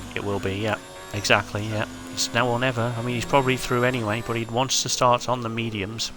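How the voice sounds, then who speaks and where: A man speaks very fast with a British accent, his pitch medium and his intonation fairly even. Noticeable background noise runs behind him. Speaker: sim racing league commentator. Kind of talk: live commentary.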